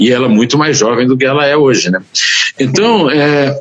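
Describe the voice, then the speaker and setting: This man's voice sits fairly high. He talks at a moderate pace. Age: 70s. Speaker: journalist and writer. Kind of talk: interview. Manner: halting.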